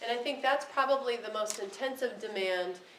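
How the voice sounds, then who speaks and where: A woman talks at a very fast pace with ordinary pitch variation. Noticeable background noise and audible room echo surround her voice. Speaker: special education professor. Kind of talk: lecture. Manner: halting, many ums and restarts.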